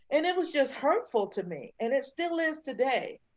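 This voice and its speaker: Against a quiet background, a woman with an American accent speaks at a fairly slow pace with very wide pitch swings. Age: 60s. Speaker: panelist and diversity trainer. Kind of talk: online panel discussion. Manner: halting.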